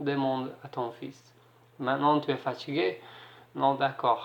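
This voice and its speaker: A man is speaking. He has an English accent. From Ireland. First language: English (speaking French). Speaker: single parent vlogger. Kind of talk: advice vlog. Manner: halting, hesitant.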